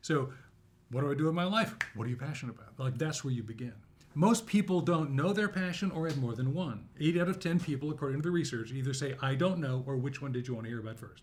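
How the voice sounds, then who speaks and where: A man's fairly high, somewhat breathy voice with an American accent, animated in tone and very fast in pace. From Southern California. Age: 60s. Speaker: university instructor and author. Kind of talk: interview conversation.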